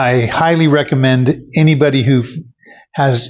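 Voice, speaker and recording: A somewhat breathy man's voice at medium pitch, with ordinary pitch variation. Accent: American. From US Pacific Northwest (Oregon). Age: 70s. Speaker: patient giving a testimonial. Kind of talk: testimony. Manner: halting, many fillers.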